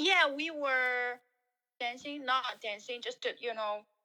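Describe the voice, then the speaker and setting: This woman has a Chinese accent and a high voice. She talks at a fairly slow pace. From Shanghai, China. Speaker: guest, former team leader. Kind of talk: casual chat. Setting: video call. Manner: hesitant, many fillers.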